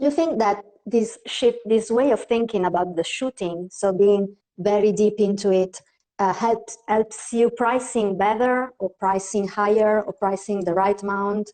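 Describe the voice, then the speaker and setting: Speaking fairly slowly with a non-native accent, a woman keeps a medium pitch and fairly even intonation. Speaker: portrait photographer. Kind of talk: interview questions.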